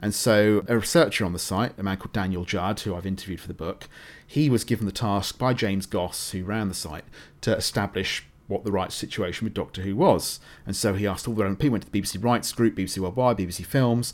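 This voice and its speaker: Speaking at a fairly quick pace with ordinary pitch variation, a man with a British accent is heard on a very clean recording with a silent background. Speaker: writer and radio producer. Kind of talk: interview.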